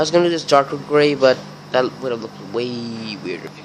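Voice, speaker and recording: A man speaks over noticeable background noise. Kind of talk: casual craft tutorial voiceover.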